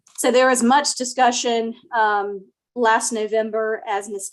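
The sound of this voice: A woman speaks softly with fairly even intonation. Her pitch is fairly high.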